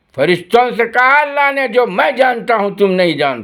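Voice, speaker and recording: A man is speaking. His pitch swings very widely. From India. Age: 70s. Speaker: retired policeman making video replies. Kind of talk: angry video rant. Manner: animated, loud.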